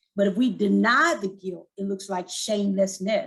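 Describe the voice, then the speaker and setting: She speaks at a fairly quick pace. Her voice is somewhat breathy. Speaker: suicide prevention speaker. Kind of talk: talk to church audience. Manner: fast.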